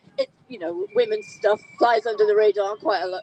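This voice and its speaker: A woman with a Geordie accent, her pitch swinging very widely, in a dry, close sound with no echo. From Newcastle upon Tyne, England. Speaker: campaigner. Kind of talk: speech at an outdoor rally.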